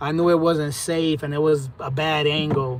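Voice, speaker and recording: There is noticeable background noise behind this man, whose voice sits at a fairly high pitch. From US, raised in Puerto Rican family. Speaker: livestreamer, trucker. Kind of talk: casual live stream chat.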